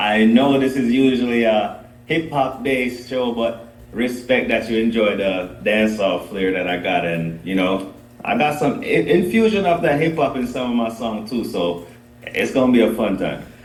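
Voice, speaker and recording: Amid noticeable background noise and audible room echo, a man with a medium pitch talks at a moderate pace with lively intonation. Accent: Jamaican. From Jamaica. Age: 30s. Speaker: dancehall artist. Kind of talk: podcast interview.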